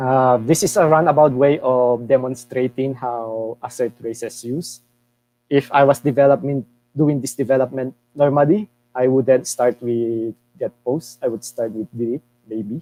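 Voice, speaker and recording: This man has a normal speaking voice at medium pitch. His intonation is fairly even, and his pace is moderate. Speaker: tech workshop speaker. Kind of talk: live coding tutorial.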